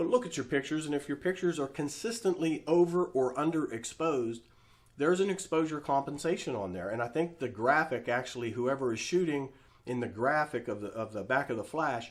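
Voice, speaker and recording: A man talks at a fairly quick pace in a fairly high pitch, his intonation lively. He has a normal speaking voice. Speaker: photography teacher. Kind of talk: tutorial. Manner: casual, with fillers.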